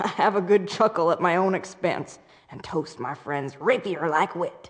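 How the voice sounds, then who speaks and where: A put-on character voice comes at a middle pitch and a moderate pace. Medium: video game.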